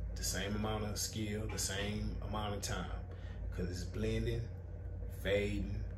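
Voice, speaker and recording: A man with a very deep, low voice speaks at a fairly slow pace. Noticeable background noise runs underneath. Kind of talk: casual advice talk. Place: shop. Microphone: camera far.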